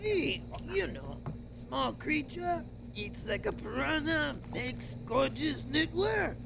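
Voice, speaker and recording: A put-on character voice talks at a fairly slow pace over loud background noise. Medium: audio drama. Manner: casual, buddy-buddy.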